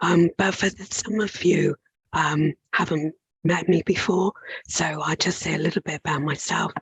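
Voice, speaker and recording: A woman with a breathy, strained, fairly low voice speaks at a fairly slow pace with fairly even intonation. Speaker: occupational psychologist. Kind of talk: webinar presentation.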